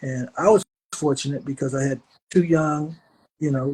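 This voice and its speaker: Somewhat breathy, a man speaks in a fairly high pitch at a moderate pace. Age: 70s. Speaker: rock musician and author. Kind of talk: interview.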